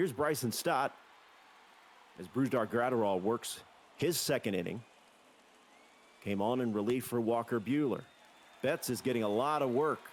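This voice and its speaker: A man speaks at a moderate pace with a medium pitch. His pitch varies in an ordinary way, and he takes long, frequent pauses. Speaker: play-by-play shoutcaster. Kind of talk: live sports play-by-play commentary.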